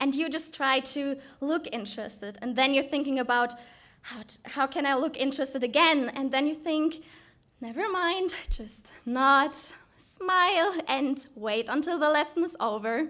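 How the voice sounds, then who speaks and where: A woman's high-pitched voice with a German accent and ordinary pitch variation. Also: moderate pace. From Germany. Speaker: student speaker in oratory contest. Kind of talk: prepared oratorical speech.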